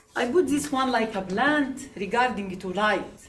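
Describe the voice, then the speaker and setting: With an Arabic accent, a woman speaks at a fairly slow pace in a high voice with ordinary pitch variation, over noticeable background noise and audible room echo. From Egypt. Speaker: immigrant writer. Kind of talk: speech at a book launch. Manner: halting, with many fillers.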